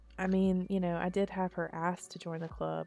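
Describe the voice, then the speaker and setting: Music plays in the background as a woman speaks. Her pitch is fairly low and her pace fairly quick. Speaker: gaming YouTuber. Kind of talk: gameplay commentary. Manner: casual, chatty.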